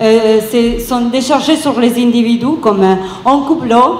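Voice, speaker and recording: Amid noticeable background noise and audible room echo, a woman with an Italian accent speaks at a high pitch and a fairly slow pace with fairly even intonation. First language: Italian (speaking French). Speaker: activist. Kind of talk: round table talk. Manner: halting.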